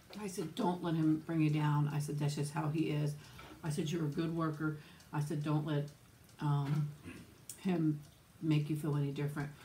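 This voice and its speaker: With light background noise behind her, a soft-spoken woman with an American accent speaks at a moderate pace in a very deep, low, somewhat breathy voice with a dark, mellow tone, monotone, flat intonation and long, frequent pauses. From US South, Florida. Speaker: YouTuber. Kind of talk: casual chat. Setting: home. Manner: quiet. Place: home room. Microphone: phone near.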